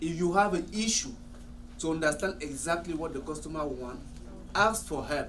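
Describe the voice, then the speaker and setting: A high-pitched man with a French accent and ordinary pitch variation, amid noticeable background noise and audible room echo. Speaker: salon owner. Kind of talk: staff meeting discussion.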